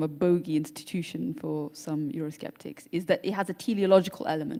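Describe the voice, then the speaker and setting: Someone with a British accent talks at a very fast pace over noticeable background noise. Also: woman. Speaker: panel moderator. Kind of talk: panel discussion.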